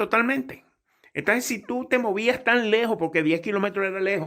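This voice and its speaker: A man speaks in a high-pitched, bright, sharp voice that is raised and projected. The recording is very clean, with a silent background. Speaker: pilot and aviation English teacher. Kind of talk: tutorial; sales pitch. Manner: casual, conversational.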